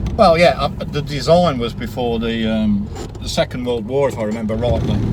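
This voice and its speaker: A man's medium-pitched voice with ordinary pitch variation, at a moderate pace, with audible room echo and noticeable background noise. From Birmingham, England. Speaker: classic car owner, YouTuber. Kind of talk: casual interview chat. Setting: in a car, engine noise.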